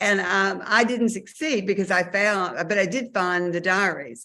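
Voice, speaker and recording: A woman with a Southern US accent at a fairly slow pace. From Mississippi. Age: 60s. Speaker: author. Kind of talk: interview. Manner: hesitant, many fillers.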